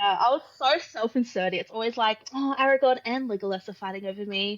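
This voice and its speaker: A woman with an Australian accent speaks at a fairly quick pace in a fairly high voice, with hardly any pauses. Her pitch variation is ordinary, and noticeable background noise runs underneath. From Australia, Brisbane, Queensland. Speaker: author. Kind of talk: casual chat.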